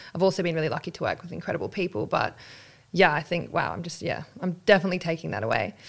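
With vocal fry and a fairly low pitch, a woman talks at a very fast pace with ordinary pitch variation. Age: 30s. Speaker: podcast host. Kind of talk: interview.

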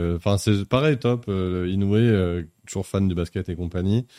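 The recording is very clean, with a silent background. A man talks at a moderate pace with ordinary pitch variation. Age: 40s. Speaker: publishing marketing director. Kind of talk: live-streamed interview.

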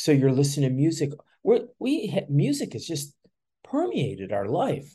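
The voice has a dark, mellow tone, somewhat breathy, moving at a fairly slow pace with lively intonation. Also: man. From Chicago. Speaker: music event organizer. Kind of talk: casual interview. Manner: halting, many fillers.

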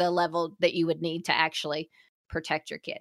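Recorded very cleanly against a silent background, a woman's voice has a bright, sharp tone and a dry, close sound with no echo. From US South. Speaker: podcast co-host, mother of two. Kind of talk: casual chat.

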